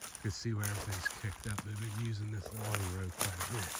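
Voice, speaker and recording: Over noticeable background noise and audible room echo, a man talks at a fairly quick pace in a fairly low, monotone, flat voice. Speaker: hunting vlogger. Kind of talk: outdoor vlog narration. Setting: outdoors in the woods. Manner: whispering.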